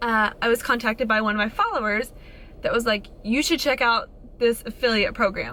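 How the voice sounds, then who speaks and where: Over noticeable background noise, a woman talks at a fairly quick pace in a high pitch, her tone animated and her pitch variation ordinary. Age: 20s. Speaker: fitness influencer / vlogger. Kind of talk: casual vlog monologue.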